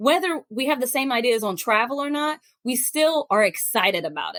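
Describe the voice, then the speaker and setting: A high-pitched woman at a fairly quick pace, animated in tone, with very wide pitch swings and a dry, close sound with no echo. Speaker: podcast host. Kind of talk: casual chat.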